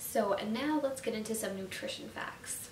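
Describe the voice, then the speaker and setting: Noticeable background noise sits behind this recording. A woman speaks with lively intonation. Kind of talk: casual YouTube explainer. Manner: casual, conversational.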